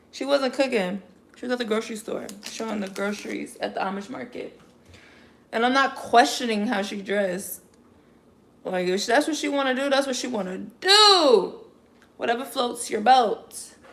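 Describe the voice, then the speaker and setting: A woman with an American accent speaks in a high voice at a moderate pace, her tone animated and her intonation lively, with big swings in loudness. She leaves long, frequent pauses, and there is noticeable background noise. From Chicago. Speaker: lifestyle vlogger. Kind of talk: casual livestream chat.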